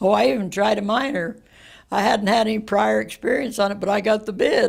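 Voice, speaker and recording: This woman has an American accent, vocal fry and a medium pitch. She talks at a fairly quick pace with ordinary pitch variation. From Western United States. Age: 80s+. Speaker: retired coal miner. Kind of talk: interview answer.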